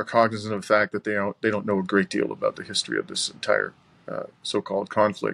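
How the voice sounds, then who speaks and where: A fairly quick male voice, dry with no echo, over a quiet background. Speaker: remote interviewee. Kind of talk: interview answer. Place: home room. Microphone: video call.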